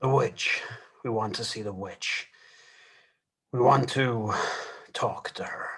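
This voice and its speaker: Raspy and medium in pitch, a man puts on a character voice. He talks at a fairly slow pace with long, frequent pauses. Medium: stage play. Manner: terse, clipped, commanding.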